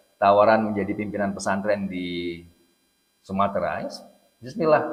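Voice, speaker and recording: A fairly low-pitched man with a Jakarta accent speaks amid audible room echo. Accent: Jakarta-sounding Indonesian. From Central Java, Indonesia. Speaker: Islamic preacher. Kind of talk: religious lecture. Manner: casual, joking.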